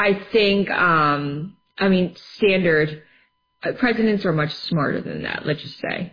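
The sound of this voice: A woman talks at a fairly slow pace with ordinary pitch variation. Her voice sits fairly low in pitch.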